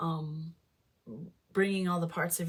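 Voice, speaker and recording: Somewhat breathy, a woman talks in a fairly low voice with ordinary pitch variation. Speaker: tarot reader. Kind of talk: tarot reading. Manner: mumbling at times; halting, many fillers.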